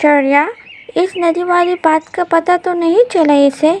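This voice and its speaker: In a cartoonish character voice, a woman speaks at an extremely high pitch. Her pace is moderate. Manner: chatty.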